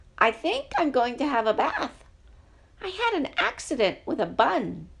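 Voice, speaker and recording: The woman adopts a put-on character voice, high in pitch and moderate in pace. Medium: read story.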